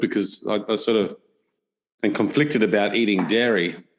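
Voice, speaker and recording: A man's plain, everyday voice, fairly low with ordinary pitch variation, at a fairly quick pace over a quiet background. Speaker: podcast host. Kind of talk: podcast interview questions.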